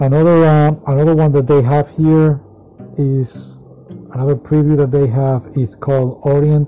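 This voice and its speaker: A man with a non-native accent speaks at a moderate pace in a fairly high, monotone, flat voice with very even loudness. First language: not English. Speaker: anime magazine reviewer. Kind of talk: solo casual review. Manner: halting, many fillers.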